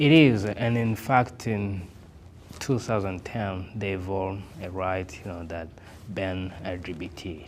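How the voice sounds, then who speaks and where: With audible room echo, a man with a very deep, low voice talks at a fairly slow pace and with fairly even intonation. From Burundi, Bujumbura. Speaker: interview guest, immigrant. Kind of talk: interview. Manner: halting, many fillers.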